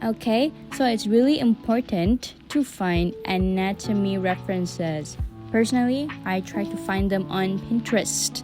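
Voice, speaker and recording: A woman with a non-native accent speaks at a fairly slow pace. Music plays in the background. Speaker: digital artist. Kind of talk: tutorial voice-over. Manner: casual, rambling.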